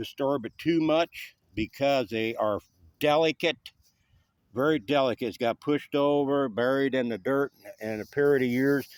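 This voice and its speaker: A man speaks with an Appalachian accent at a moderate pace, his pitch varying in an ordinary way. The sound is dry and close with no echo, on a very clean recording with a silent background. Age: 60s. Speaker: volunteer cemetery cleaner. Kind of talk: casual video walkthrough. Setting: outdoors. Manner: casual, hesitant with fillers.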